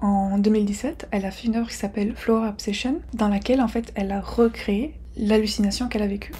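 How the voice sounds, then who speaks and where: A soft-spoken woman talks at a fairly quick pace. Her pitch is fairly high and her intonation fairly even. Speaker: art YouTuber. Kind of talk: educational video. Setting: rented apartment. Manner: soft-spoken, quiet.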